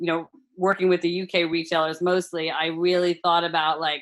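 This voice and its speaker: Speaking in a monotone with flat intonation, a woman with an American accent has a fairly low pitch and a bright, sharp tone. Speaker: food brand founder. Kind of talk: podcast interview.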